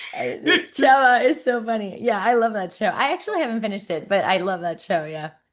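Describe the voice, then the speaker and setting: A woman speaks with a slight Mexican accent in a fairly high voice. Her tone is animated, and her pitch swings very widely. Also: fairly quick pace, quiet background. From Mexico City, Mexico. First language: Spanish. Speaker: actress. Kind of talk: casual chat.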